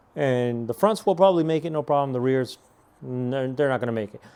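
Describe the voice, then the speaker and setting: A man with a Spanish accent speaks in a dark, mellow tone with ordinary pitch variation. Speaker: car enthusiast vlogger. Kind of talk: casual product review. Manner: casual, hesitant with fillers.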